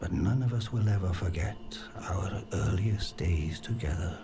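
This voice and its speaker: A man performs a put-on character voice at a moderate pace. Clear background noise runs behind him. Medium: machinima. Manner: courteous, earnest.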